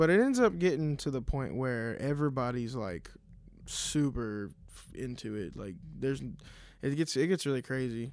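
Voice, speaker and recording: An unremarkable speaking voice with an American accent moves at a moderate pace, with lively intonation and big swings in loudness, on a very clean recording with a silent background. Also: man. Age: 20s. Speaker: fill-in co-host. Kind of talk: casual chat.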